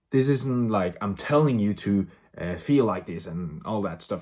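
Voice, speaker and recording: A man with a non-native accent, fairly slow and lively in intonation, on a very clean recording with a silent background. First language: not English. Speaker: vlogger, movie reviewer. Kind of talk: casual vlog movie review. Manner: halting, many fillers and repetitions; animated.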